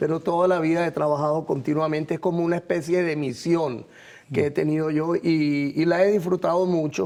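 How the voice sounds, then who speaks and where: A man's fairly high voice, dark and mellow in tone, at a fairly quick pace with fairly even intonation. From Venezuela, Caracas. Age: 60s. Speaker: visual artist. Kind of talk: TV interview.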